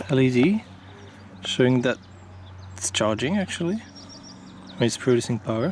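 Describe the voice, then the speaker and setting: Over noticeable background noise, a man with a non-native accent talks at a moderate pace in a medium pitch, his voice making very wide pitch swings. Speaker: product reviewer. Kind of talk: product review tutorial. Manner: hesitant, many fillers.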